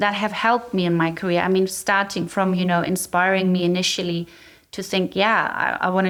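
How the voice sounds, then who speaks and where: The speech comes at a fairly quick pace in a German accent. Its intonation stays fairly even. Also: woman. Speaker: cyber threat intelligence executive. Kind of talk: interview.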